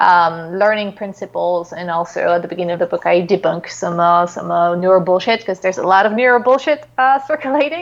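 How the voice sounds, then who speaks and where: Her intonation lively, a woman with a French accent talks at a moderate pace and medium pitch. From France. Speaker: psychologist and author. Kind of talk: interview. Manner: halting, many fillers.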